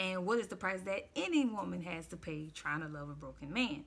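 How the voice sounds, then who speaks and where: Bright, sharp female voice at a medium pitch, with lively intonation and vocal fry. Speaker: relationship commentary vlogger. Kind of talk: casual commentary monologue. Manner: hesitant with many fillers.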